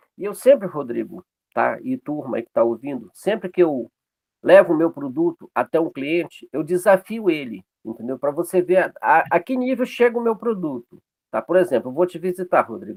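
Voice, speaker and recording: A man speaks at a high pitch with very wide pitch swings. His pace is moderate, and the sound is dry and close, with no echo. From Pará, northern Brazil. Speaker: açaí business owner. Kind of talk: online networking meeting talk.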